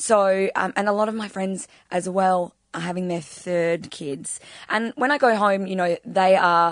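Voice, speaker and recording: Medium-pitched woman with an Australian accent, ordinary pitch variation and a fairly slow pace, against a quiet background. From Adelaide, Australia. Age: 30s. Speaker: podcast guest. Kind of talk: casual chat.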